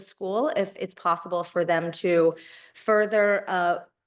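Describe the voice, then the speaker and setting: Against a quiet background, a woman with a normal speaking voice talks at a moderate pace and medium pitch with fairly even intonation. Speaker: town official presenting budget. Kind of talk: budget presentation in public meeting.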